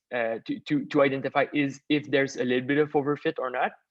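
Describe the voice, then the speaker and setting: A man talks at a moderate pace in a fairly high voice. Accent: Quebec. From Quebec. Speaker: machine learning expert. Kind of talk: webinar Q&A. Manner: halting, many fillers.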